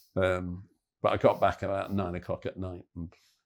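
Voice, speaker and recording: This man speaks in an English accent, captured on a very clean recording with a silent background. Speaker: football podcast co-host. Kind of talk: casual chat.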